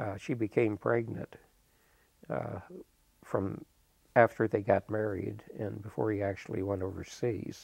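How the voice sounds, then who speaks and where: A man with a Midwestern American accent speaks fairly slowly in a fairly low pitch, with vocal fry and ordinary pitch variation. His long, frequent pauses come through a quiet background and a dry sound with no echo. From Urbana, Illinois; Illinois. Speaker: interviewee. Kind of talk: interview answer. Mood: calm, reflective. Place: studio.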